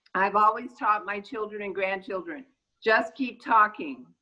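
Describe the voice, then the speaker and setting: The voice has a bright, sharp tone, ordinary pitch variation and an American accent. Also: woman. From Los Angeles, Southern California. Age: 60s. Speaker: city council candidate. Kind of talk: casual chat. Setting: video call.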